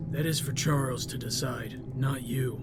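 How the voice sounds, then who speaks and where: Using a put-on character voice at medium pitch, a man speaks at a moderate pace against loud background noise. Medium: audio drama. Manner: calm, flat, unjudging.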